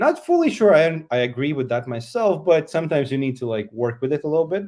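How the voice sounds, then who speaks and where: A man's fairly high voice, dark and mellow in tone, with lively intonation and a fairly quick pace against a quiet background. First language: Latvian. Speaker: conference speaker. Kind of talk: conference talk.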